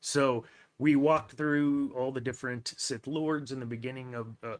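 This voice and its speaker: On a very clean recording with a silent background, a man with a plain, everyday voice talks at a fairly slow pace, medium pitch and fairly even intonation. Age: 40s. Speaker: podcast host, guest on another show. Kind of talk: casual chat.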